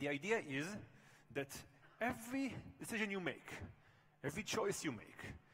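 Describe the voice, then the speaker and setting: Noticeable background noise runs under a man with a high pitch. His pitch swings very widely, and he takes long, frequent pauses. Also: moderate pace. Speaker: professor. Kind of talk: conference keynote.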